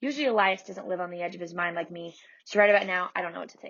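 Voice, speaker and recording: A woman's raspy put-on character voice, very fast and medium in pitch with ordinary pitch variation. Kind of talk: first-person middle-grade storytelling. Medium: read story. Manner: warm, folksy Southern narration.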